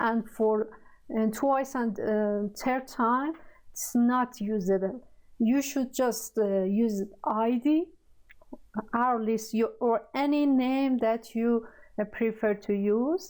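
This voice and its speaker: Very slowly and at very even loudness, a woman with a Persian accent speaks in a fairly high pitch with ordinary pitch variation. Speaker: programming tutor. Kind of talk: tutorial. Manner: halting, many fillers.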